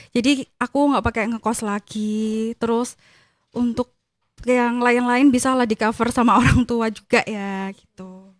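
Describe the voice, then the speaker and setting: In dry, close sound with no echo and a silent background on a very clean recording, a woman speaks fairly high and fairly slowly, with monotone, flat intonation and big swings in loudness. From Gresik, East Java, Indonesia. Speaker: civil servant at election commission. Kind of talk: casual interview chat.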